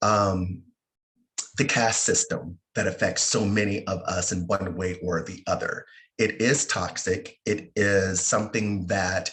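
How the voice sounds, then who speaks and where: A man with an unremarkable speaking voice talks at a fairly slow pace and a fairly low pitch. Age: 50s. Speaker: webinar moderator, Pride organization officer. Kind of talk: panel discussion introduction.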